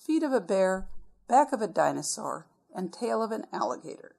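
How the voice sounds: The text is read in a natural reading voice. Its intonation rises and falls in a lively way.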